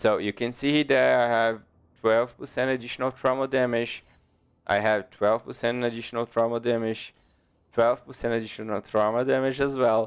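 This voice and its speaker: At a moderate pace, a man with a non-native accent talks in a flat monotone at a medium pitch. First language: not English. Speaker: gaming youtuber. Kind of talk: tutorial. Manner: halting.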